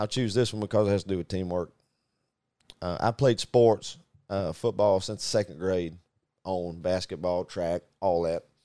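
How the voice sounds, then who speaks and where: A man with a very deep, low pitch and a Southern US accent, dark and mellow in tone, with fairly even intonation and long, frequent pauses, in a dry, close sound with no echo on a very clean recording with a silent background. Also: moderate pace. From US Deep South (Arkansas). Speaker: business owner and podcast co-host. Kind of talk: casual chat.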